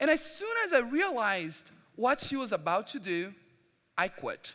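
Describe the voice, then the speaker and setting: In a Portuguese accent, a man projects a raised voice at a fairly slow pace, his bright, sharp tone moving through very wide pitch swings. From Brazil. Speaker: preacher. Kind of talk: sermon. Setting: church service.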